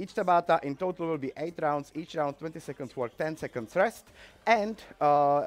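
A man talks at a moderate pace while his pitch varies in an ordinary way. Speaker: fitness instructor. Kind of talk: tutorial. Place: gym.

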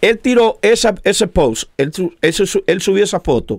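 Against a quiet background, the voice moves at a fairly slow pace with very wide pitch swings. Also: man. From Dominican Republic. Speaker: show co-host. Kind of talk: casual debate. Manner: animated. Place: studio. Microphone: studio mic.

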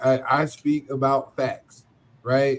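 A man's medium-pitched voice over light background noise. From United States. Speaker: podcast panelist. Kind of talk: heated debate. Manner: animated. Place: home room.

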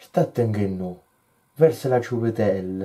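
A man speaks at a fairly slow pace, his dark, mellow tone somewhat breathy, with ordinary pitch variation. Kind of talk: poetry reading.

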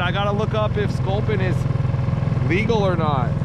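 Over loud background noise, a man speaks at a moderate pace with a dry sound and no echo. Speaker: fishing vlogger. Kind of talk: casual vlog chat. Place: boat. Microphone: phone near.

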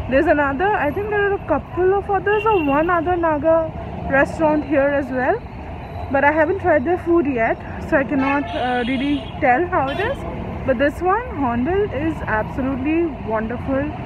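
At a moderate pace, a woman speaks at a high pitch over noticeable background noise. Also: dry sound with no echo. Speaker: food vlogger. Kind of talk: casual vlog chat. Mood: relaxed, pleased. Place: street. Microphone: phone near.

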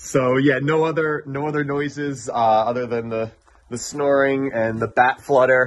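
Light background noise sits behind the clip. A man talks at a moderate pace with ordinary pitch variation. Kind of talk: casual vlog chat. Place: tunnel cave. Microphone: phone near.

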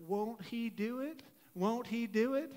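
A woman puts on a character voice in a Texan accent, talking at a fairly slow pace with a fairly high pitch and ordinary pitch variation.

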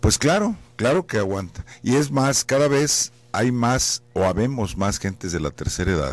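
The recording is dry, with no echo. A man speaks at a fairly slow pace with very wide pitch swings. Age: 60s. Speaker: anesthesiologist, professor. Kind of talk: radio interview, explaining. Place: studio. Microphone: studio mic.

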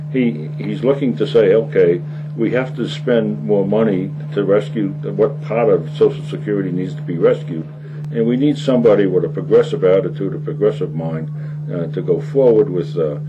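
A man speaks at a moderate pace. Behind him, music can be heard. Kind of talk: interview answer. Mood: earnest political argument. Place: studio.

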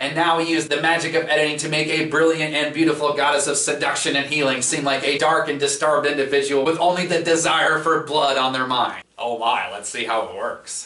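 A man at a fairly quick pace with hardly any pauses, in audible room echo. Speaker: comedy show host. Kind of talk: comedy show hosting. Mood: playful, sarcastic. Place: home room.

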